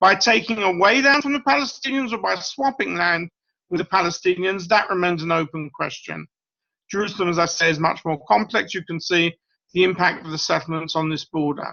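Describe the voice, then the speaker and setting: A man's high voice with a British accent, fairly quick in pace and lively in intonation. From Britain. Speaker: professor. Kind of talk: lecture.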